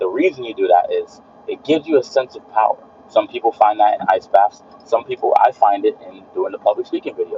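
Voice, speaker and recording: Amid noticeable background noise, a man talks at a fairly quick pace with big swings in loudness. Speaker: streamer and fitness content creator. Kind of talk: live stream monologue. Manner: repeats words; casual motivational.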